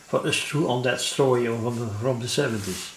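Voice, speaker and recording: Amid noticeable background noise and audible room echo, a man at medium pitch speaks at a fairly slow pace in a monotone, flat intonation. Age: 70s. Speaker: electronics hobbyist. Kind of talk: tutorial. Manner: halting, many fillers.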